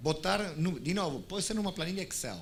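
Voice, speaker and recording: A man with vocal fry speaks in an Argentine accent at a fairly quick pace, with audible room echo around him. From Argentina. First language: Spanish (speaking Portuguese). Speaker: tech company executive. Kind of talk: conference panel discussion. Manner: halting, many restarts.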